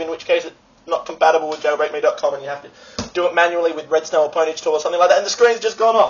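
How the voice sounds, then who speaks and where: Someone with an Australian accent speaks at a very fast pace. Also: man. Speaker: vlogger. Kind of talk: casual vlog. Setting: friend's apartment. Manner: animated. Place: home room. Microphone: webcam.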